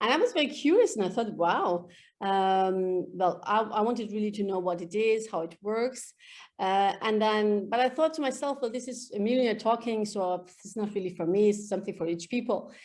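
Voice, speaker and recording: Against a quiet background, a woman with an Iranian accent speaks at a moderate pace with ordinary pitch variation. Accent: Iranian (Persian) accent in English. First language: Farsi. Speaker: EFT practitioner. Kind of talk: interview. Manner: hesitant, many fillers.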